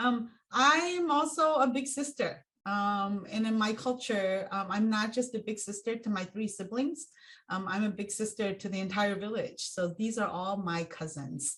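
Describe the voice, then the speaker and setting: With lively intonation, a woman speaks at a moderate pace in a fairly high voice. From Hmong refugee from Laos/Thailand, raised in US. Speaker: racial equity consultant. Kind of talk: plenary talk. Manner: halting with many fillers.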